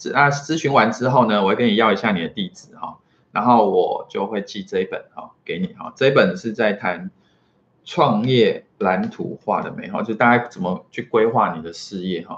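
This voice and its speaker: A man uses an ordinary speaking voice at medium pitch and a moderate pace. His intonation is lively, and his loudness swings widely. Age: 40s. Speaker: marketing consultant and entrepreneur. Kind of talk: solo vlog talk to camera. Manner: filler-heavy, casual with frequent 哈.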